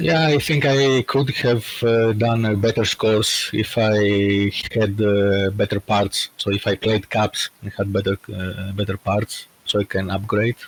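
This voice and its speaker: With a Greek accent, a man speaks at a fairly slow pace and fairly low pitch, somewhat breathy, with fairly even intonation, hardly any pauses, and a dry, close sound with no echo. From Greece, partly raised in Germany. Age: 30s. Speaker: podcast guest, IT manager. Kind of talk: casual chat. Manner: hesitant, many fillers.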